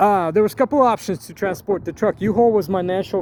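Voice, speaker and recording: A man's dark, mellow voice at a very fast pace, dry and close with no echo. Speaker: YouTuber. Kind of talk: tutorial. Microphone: phone recording.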